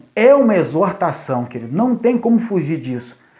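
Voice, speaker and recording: The pace is fairly slow. A man talks amid audible room echo. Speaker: youth pastor. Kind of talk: live stream talk to church youth. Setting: live stream from phone. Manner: deliberately slow, paced. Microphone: phone connection lagging.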